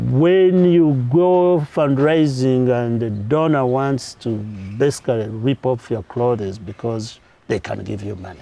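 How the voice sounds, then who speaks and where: A man with a Ugandan accent speaks at a fairly slow pace in a medium pitch, his dark, mellow tone carried by lively intonation. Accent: unchanged Ugandan. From Uganda, Kanungu district. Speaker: nonprofit founder. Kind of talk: interview.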